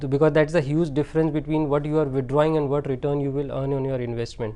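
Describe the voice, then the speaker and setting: This man talks very fast with a monotone, flat delivery. His pitch is fairly high, and background noise is noticeable. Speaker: financial advisor. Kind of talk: TV advice show.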